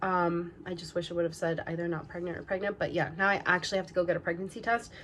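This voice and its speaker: Over noticeable background noise, a woman at a medium pitch talks at a very fast pace. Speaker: lifestyle vlogger. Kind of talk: personal vlog. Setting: at home.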